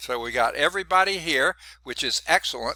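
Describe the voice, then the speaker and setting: Speaking fairly slowly with a Southern US accent, a man is heard in a dry, close recording with no echo, very clean and against a silent background. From US South (Georgia). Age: 60s. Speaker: college math instructor. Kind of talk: lecture. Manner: casual, conversational.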